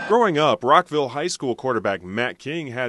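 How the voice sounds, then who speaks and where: The sound is dry and close with no echo, though background noise is noticeable. A man speaks at a moderate pace with very wide pitch swings. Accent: American. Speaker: radio sports reporter. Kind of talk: radio news report.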